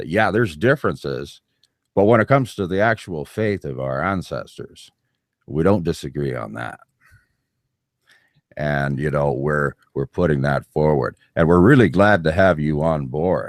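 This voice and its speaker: A man with a very deep, low pitch and vocal fry speaks at a moderate pace with lively intonation and long, frequent pauses. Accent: Canadian. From Canada. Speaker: podcast host. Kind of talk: interview.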